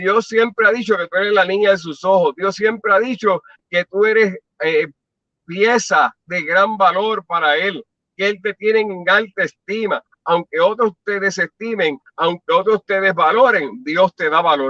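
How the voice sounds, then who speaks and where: Raised and projected, the voice has a bright, sharp tone, ordinary pitch variation and a fairly slow pace, heard in a dry, close sound with no echo. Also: man, high pitch for a man. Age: 60s. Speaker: pastor. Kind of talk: testimony.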